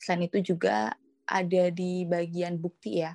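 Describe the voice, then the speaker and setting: A woman speaks at a medium pitch, the sound dry and close with no echo. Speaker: student treasurer. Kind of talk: casual interview.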